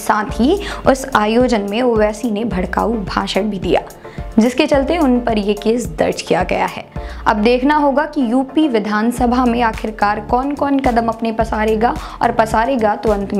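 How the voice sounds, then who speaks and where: Clear background music under a woman's fairly slow speech. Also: ordinary pitch variation. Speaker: news presenter. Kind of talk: news report. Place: studio.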